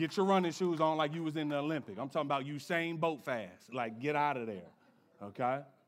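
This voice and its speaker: Fairly high-pitched and animated, a man speaks in a playful tone at a fairly quick pace, with audible room echo. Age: 30s. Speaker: pastor. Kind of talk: sermon, lively conversational church preaching with congregation call-and-response. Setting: church with live congregation. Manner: animated, playful and joking, riffing with the crowd; emphatic, punchy declarations drawing amens.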